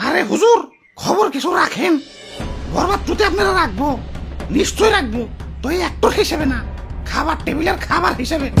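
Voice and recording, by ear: A high-pitched, cartoonish character voice does the talking. Faint music plays in the background. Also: moderate pace.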